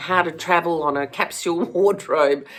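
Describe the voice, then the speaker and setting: A woman speaks very slowly in a fairly low pitch. Noticeable background noise is audible. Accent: Australian. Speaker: former fashion stylist, flower farmer. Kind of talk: casual talk to camera.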